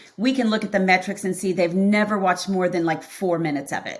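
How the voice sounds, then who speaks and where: Noticeable background noise sits behind the recording. A woman speaks with fairly even intonation. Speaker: accounting practice consultant. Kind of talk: podcast interview. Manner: fast.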